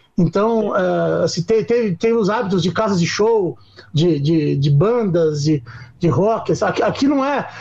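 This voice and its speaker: A man talks at a medium speed while noticeable noise fills the background. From Curitiba, southern Brazil. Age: 40s. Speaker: rock musician. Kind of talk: casual interview chat.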